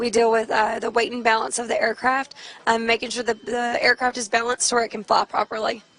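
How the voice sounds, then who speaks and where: Against noticeable background noise, a woman with a Texan accent and a fairly high pitch speaks at a very fast pace in a monotone, flat intonation, with a dry, close sound with no echo. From Texas. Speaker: military loadmaster. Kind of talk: interview.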